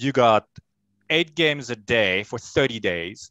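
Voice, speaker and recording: A man speaks at medium pitch with a French accent and ordinary pitch variation. The recording is very clean, with a silent background and a dry, close sound with no echo. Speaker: sports show host. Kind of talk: interview.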